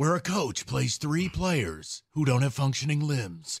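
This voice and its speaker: A put-on character voice with lively intonation, very even loudness and a fairly slow pace. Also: man, fairly high pitch for a man. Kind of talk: trailer narration.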